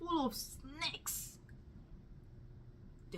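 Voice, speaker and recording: She speaks at a very slow pace. The woman is whispering. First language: Luganda. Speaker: testimony speaker. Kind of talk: testimony. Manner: halting.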